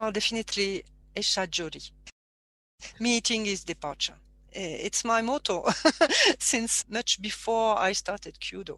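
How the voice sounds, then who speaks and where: In a French accent, a woman speaks at a fairly slow pace with a fairly high pitch and ordinary pitch variation, in a dry, close sound with no echo. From southern France (Provence). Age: 50s. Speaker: martial arts teacher. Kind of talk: interview conversation. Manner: halting.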